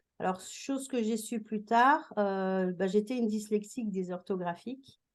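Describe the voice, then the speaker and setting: A woman's medium pitch with ordinary pitch variation. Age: 60s. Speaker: retired teacher and school coach. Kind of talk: interview testimony.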